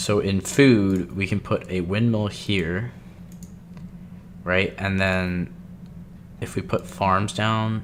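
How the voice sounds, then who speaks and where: A man talks very slowly in a fairly low pitch. His speech has long, frequent pauses. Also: ordinary pitch variation. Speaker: gaming video creator. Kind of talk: let's play commentary. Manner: casual, hesitant with fillers.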